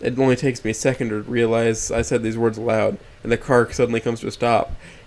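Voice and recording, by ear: The intonation is fairly even. Someone reads aloud in a natural voice.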